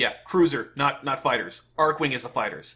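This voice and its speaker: A man's animated voice with a bright, sharp tone. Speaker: gaming youtuber reacting to a developer stream. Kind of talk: reaction commentary. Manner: loud, yelling; animated, stammering repeats.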